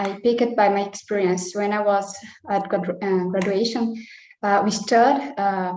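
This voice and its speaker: A woman with a Brazilian Portuguese accent talks at a moderate pace. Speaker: nutritionist. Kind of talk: personal sharing in online meeting. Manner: halting, many hesitations.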